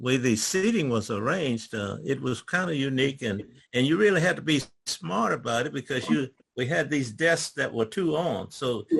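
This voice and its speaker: Lively intonation in a Virginia accent against a quiet background. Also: man, medium pitch for a man, moderate pace. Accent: rural Virginia Southern. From US South, rural Virginia. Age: 80s+. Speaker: retired government worker. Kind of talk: oral history talk. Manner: stammering; halting.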